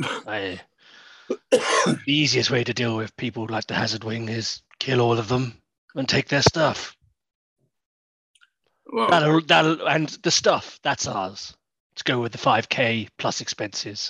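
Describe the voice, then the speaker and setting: A man uses a put-on character voice at a medium pitch. He speaks fairly slowly and pauses long and often. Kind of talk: tough-guy mercenary talk. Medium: actual play. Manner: cocky, blunt, streetwise.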